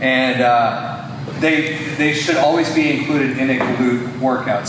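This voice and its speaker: A man with a fairly high pitch is heard with noticeable background noise and audible room echo. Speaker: fitness coach. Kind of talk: tutorial.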